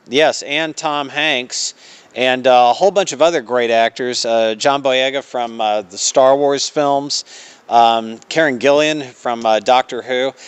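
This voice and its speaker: A man's medium-pitched voice at a fairly slow pace, with ordinary pitch variation. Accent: Southern US. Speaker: theater staff promoting events. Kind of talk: radio interview. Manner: many filler words (uh).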